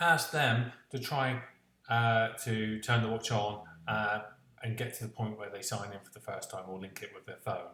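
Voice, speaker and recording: With a slight West Country accent, a man speaks at a moderate pace and medium pitch, with ordinary pitch variation and big swings in loudness. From West Country of England. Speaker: tech reviewer. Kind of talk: product review vlog. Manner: hesitant, many fillers.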